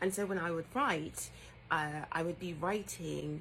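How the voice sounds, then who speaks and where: Speaking very slowly with a British accent, a woman uses a very deep, low pitch with vocal fry. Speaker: writer. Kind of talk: casual talk to camera.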